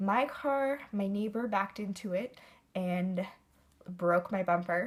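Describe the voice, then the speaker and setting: A woman speaks at medium pitch and a fairly slow pace. Her voice is somewhat breathy. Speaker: beauty vlogger. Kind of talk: casual chat.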